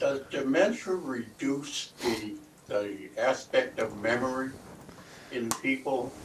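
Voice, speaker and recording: This man talks at a very slow pace with a medium pitch. Noticeable background noise runs behind him. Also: ordinary pitch variation. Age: 80s+. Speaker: audience member. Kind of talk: audience question. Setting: library talk with audience.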